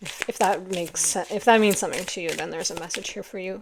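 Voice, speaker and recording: A woman keeps her intonation fairly even despite noticeable background noise. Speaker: tarot reader. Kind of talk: tarot reading monologue. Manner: slowed-down, calm pace.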